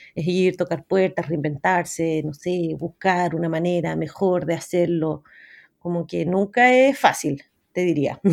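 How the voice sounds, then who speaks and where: A woman speaks in a Chilean accent at a fairly low pitch. Her pace is fairly slow, with ordinary pitch variation. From Chile, Santiago. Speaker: TV program creator and director. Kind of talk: interview conversation. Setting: remote call from a forest.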